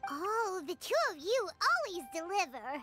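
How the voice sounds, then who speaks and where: A woman performs a put-on character voice at an extremely high pitch, her tone upbeat. Faint music plays in the background. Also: moderate pace. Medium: game stream. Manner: bright, upbeat.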